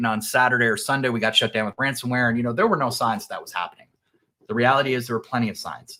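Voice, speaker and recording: This man talks at a very fast pace. His medium-pitched voice has a bright, sharp tone. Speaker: cybersecurity company executive. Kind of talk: business presentation. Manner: casual, with many fillers.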